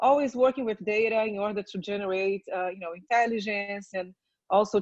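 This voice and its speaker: Speaking at a moderate pace with a Portuguese accent, a woman keeps a medium pitch and fairly even intonation in a dry, close sound with no echo. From Brazil. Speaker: research company executive. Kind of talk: panel discussion.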